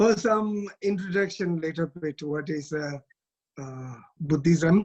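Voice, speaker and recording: A man with a Tibetan accent speaks at a very slow pace, with long, frequent pauses. His loudness swings widely. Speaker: Tibetan Buddhist abbot and teacher. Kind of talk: dharma talk. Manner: halting.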